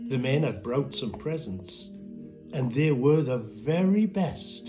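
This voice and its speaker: A man talks very slowly with music in the background. His pitch moves in very wide swings. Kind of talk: poetry reading.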